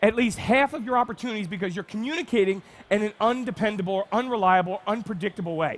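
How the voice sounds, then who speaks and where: With an American accent, a man talks at a fairly quick pace in an animated tone, his pitch high. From New Jersey. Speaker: marketing speaker. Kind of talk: conference talk. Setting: stage with audience. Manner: fast.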